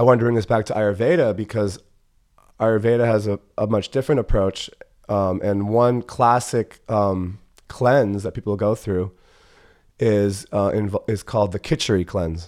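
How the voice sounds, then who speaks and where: A man talks at a moderate pace in a normal speaking voice. His pitch is fairly low, with ordinary pitch variation. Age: 30s. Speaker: holistic health practitioner. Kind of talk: casual chat.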